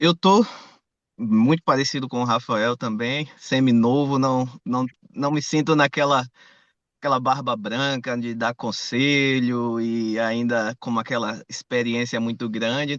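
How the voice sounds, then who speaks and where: A man with an ordinary speaking voice and medium pitch talks at a fairly slow pace with fairly even intonation, in a dry, close sound with no echo and a quiet background. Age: 30s. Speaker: engineer. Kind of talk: casual chat. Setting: video call.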